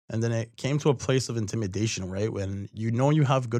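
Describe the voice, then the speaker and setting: A man with a Toronto accent talks at a fairly quick pace. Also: very clean recording, silent background. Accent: Canadian (Toronto area). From Mississauga, Ontario, Canada. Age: 20s. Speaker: poet and creative project manager. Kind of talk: casual interview.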